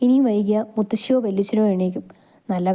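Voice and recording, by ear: Natural-voiced reading aloud with ordinary variation in pitch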